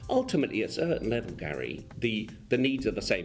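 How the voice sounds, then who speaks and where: Music plays behind a man talking at a very fast pace. He has a slight English accent. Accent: slightly English. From Argentina. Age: 40s. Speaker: insurance company executive. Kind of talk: interview. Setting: office. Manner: hesitant, many repeated words.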